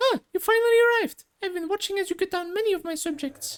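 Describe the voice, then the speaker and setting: The put-on character voice is squeaky and extremely high in pitch, delivered at a very fast pace. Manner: haughty.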